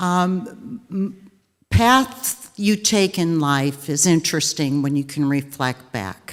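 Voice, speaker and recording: Very slow and fairly low-pitched, a woman's voice swings very widely in pitch on a very clean recording with a silent background. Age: 60s. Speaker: arts donor. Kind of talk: ceremony speech. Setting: theater with audience.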